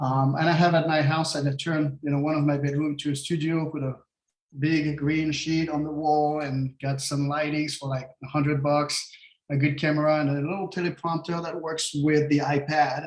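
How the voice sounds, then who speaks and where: A man speaks with a French accent in a fairly high pitch. His voice is somewhat breathy and his intonation monotone and flat. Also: moderate pace. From France. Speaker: real estate agent. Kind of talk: casual interview. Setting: live stream video call.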